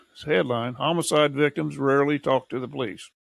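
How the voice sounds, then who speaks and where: Vocal fry runs through the speech of a man who has an American accent. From Missouri. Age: 70s. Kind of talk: casual podcast conversation.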